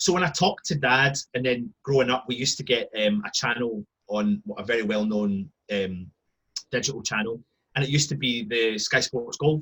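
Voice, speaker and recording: Speaking with a Scottish accent, a man of medium pitch has a bright, sharp tone, lively intonation and a moderate pace. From Scotland. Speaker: football fan. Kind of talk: casual chat. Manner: animated.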